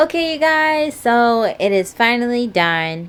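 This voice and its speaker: A woman speaks with very wide pitch swings. Background noise is noticeable. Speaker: vlogger. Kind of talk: casual vlog chat. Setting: at home.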